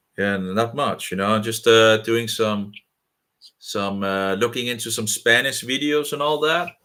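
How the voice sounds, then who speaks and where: His tone bright and sharp, a man speaks fairly slowly at a medium pitch with ordinary pitch variation. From Denmark. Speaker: video chat channel host. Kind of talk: casual chat. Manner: halting.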